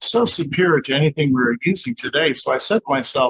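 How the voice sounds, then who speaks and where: Lively intonation marks a normal speaking voice at a moderate pace, recorded dry and close with no echo. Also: man. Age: 60s. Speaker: scalar light researcher. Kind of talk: interview. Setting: in his laboratory.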